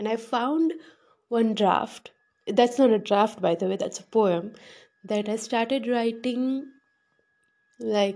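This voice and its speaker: A woman's fairly high, dark and mellow voice at a very slow pace with fairly even intonation. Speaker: podcast host reciting own poetry. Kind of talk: casual chat. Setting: home balcony. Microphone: no microphone, built-in mic.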